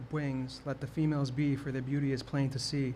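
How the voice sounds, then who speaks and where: A man speaks at a moderate pace with a fairly high, somewhat breathy voice. His intonation stays flat and monotone, and the room echo is audible. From New York, the Bronx. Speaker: open mic poet. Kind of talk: poetry performance. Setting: stage with audience. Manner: stammering.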